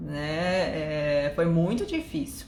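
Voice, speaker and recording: A woman with a Japanese accent, noticeable background noise and audible room echo. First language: Japanese (speaking Portuguese). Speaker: live stream host. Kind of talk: live stream chat.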